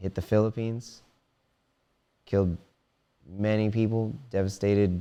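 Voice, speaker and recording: With an American accent, a man speaks at a moderate pace in a fairly low pitch and dark, mellow tone, leaving long, frequent pauses. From Maryland, US (Silver Spring area). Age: 30s. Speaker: musician. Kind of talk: casual chat. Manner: animated.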